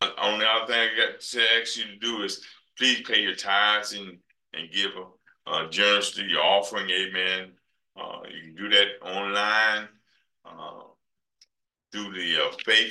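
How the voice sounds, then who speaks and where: A man with an American accent talks at a fairly slow pace. His loudness swings widely. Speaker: church minister. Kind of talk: service announcements and closing exhortation. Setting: church.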